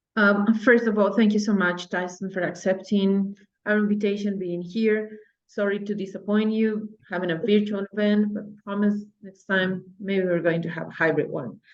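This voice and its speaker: Speaking with a Spanish accent at a moderate pace, a woman keeps a medium pitch and monotone, flat intonation while her loudness swings widely. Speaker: English teacher. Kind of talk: audience question. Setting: video call.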